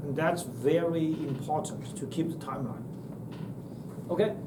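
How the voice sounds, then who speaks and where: A man with a Chinese accent speaks at a fairly slow pace amid noticeable background noise and audible room echo. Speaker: university lecturer. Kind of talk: lecture. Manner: halting.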